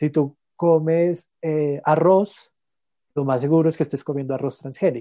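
Delivery is fairly slow, and the intonation stays fairly even throughout. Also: man, fairly high pitch for a man. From Colombia, La Calera near Bogotá. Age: 30s. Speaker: organic farmer. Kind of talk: interview. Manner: hesitant, frequent repetitions.

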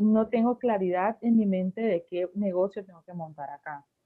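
Speaking in a normal speaking voice, a woman talks at a fairly slow pace with a medium pitch and ordinary pitch variation. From Colombia, Barranquilla. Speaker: pastry chef and baker. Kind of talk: casual interview.

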